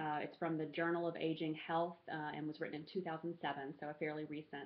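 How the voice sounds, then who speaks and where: In an American accent, a woman with a very deep, low pitch speaks at a fairly quick pace with monotone, flat intonation. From US South, rural Alabama. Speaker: graduate student. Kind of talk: class presentation. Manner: halting, many fillers.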